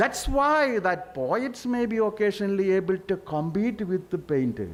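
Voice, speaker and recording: In a Keralan accent, a man speaks fairly slowly with very wide pitch swings. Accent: Indian English, Malayali. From Kerala, India. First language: Malayalam. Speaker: panelist, literary scholar. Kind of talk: panel discussion.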